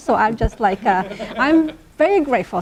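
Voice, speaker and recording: With high pitch and lively intonation, a woman speaks at a fairly quick pace amid noticeable background noise. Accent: Oaxacan. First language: Chatino. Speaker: linguist. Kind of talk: academic talk.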